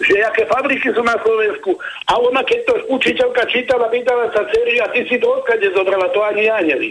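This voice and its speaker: A man speaks at a very fast pace with an extremely high pitch and very even loudness. Noticeable background noise runs under his voice. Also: ordinary pitch variation. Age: 60s. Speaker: caller. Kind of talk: phone-in. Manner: animated.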